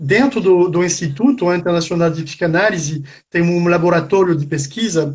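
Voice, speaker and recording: This man speaks with a French accent at a high pitch. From France. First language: French (speaking Portuguese). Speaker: psychoanalyst. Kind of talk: interview. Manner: halting, many fillers.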